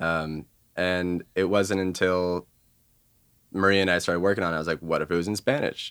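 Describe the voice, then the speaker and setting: Over a silent background in a very clean recording, a man with a Californian accent speaks at a moderate pace with fairly even intonation. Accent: Californian American. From Los Angeles. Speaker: musician. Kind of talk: casual interview. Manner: halting, many fillers.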